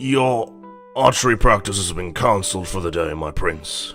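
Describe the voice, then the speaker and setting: Over clear background music, a man puts on a raspy character voice at a fairly low pitch and a moderate pace. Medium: read story. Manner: apologetic, deferential.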